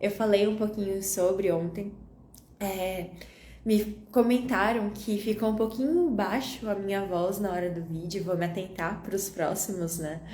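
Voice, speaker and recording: At a fairly slow pace, a woman speaks with fairly even intonation and a medium pitch, with audible room echo. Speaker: holistic wellness coach. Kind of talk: live stream talk. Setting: Instagram live. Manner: calm, gentle.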